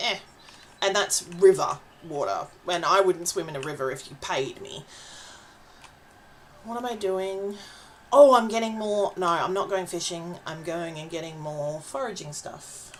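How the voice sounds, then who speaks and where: Over noticeable background noise, a woman with an Australian accent speaks at a fairly slow pace with fairly low pitch, lively intonation, big swings in loudness and long, frequent pauses. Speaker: vtuber streamer. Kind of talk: casual gaming livestream chat. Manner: chatty, hesitant with fillers.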